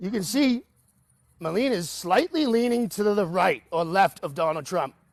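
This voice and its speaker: A man with a Boston accent, animated in tone, at a moderate pace with very wide pitch swings, in a dry, close sound with no echo. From New England (Boston). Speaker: caller on live political stream. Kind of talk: casual chat.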